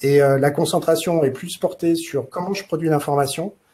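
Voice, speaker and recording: A man's somewhat breathy voice with a dark, mellow tone and fairly even intonation. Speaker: consultant presenting in a webinar. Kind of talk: webinar presentation. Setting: online webinar. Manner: hesitant, many filler sounds.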